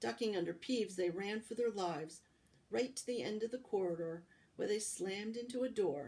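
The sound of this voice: This clip features an unforced reading voice.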